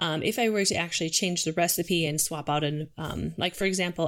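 A woman with an American accent speaks in a normal speaking voice at a moderate pace, her pitch fairly low and her intonation fairly even. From Minnesota, St. Cloud. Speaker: dog treat bakery founder. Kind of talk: casual interview chat.

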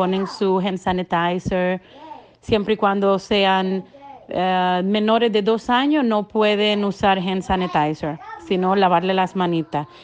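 A woman speaks very slowly with fairly even intonation. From Dominican Republic. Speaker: daycare owner. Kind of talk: testimony.

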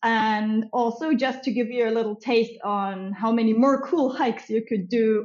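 A woman's fairly high voice with ordinary pitch variation at a moderate pace. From Germany. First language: German. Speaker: tourism entrepreneur. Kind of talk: casual interview chat.

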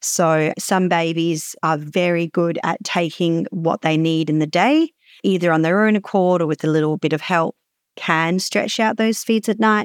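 A woman with a normal speaking voice at a fairly low pitch and moderate pace, ordinary pitch variation and very even loudness, in a dry, close sound with no echo and a very clean recording with a silent background. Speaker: lactation consultant and midwife. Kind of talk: interview answering listener questions.

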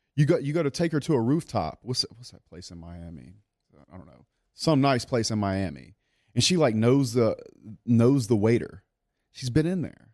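A man with a Louisiana accent speaks with very wide pitch swings and big swings in loudness. He takes long, frequent pauses, and the recording is very clean with a silent background. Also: medium pitch for a man, moderate pace. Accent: Southern US (Louisiana). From South Louisiana. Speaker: business owner. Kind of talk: casual interview. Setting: studio.

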